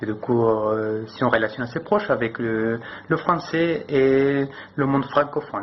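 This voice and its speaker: Noticeable background noise sits behind a man speaking at a fairly slow pace. His pitch is medium, with ordinary variation. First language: not French (speaking French). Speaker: French learner. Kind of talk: interview answer. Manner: halting.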